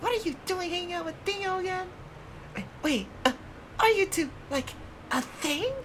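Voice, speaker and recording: Using a put-on character voice at an extremely high pitch, a man speaks at a moderate pace with long, frequent pauses, over clear background noise. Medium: game stream. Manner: eager, pushy.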